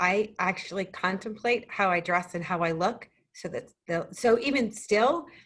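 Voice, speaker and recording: A woman's normal speaking voice, a medium pitch for a woman, with ordinary pitch variation. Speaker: financial business owner. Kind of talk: casual chat.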